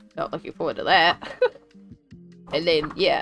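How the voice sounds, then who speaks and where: Music sits in the background as a woman speaks. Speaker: artist and colouring book streamer. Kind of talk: casual live stream talk.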